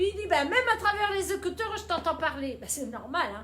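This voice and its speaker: A woman speaks in an animated tone with very wide pitch swings. Room echo is audible. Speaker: boutique owner. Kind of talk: live sales stream. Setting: Facebook live video. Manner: loud.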